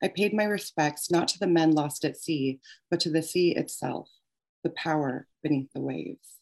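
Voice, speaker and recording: Very deep, low female voice with vocal fry and an American accent. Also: ordinary pitch variation, moderate pace. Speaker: author. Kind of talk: reading aloud; casual chat. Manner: halting.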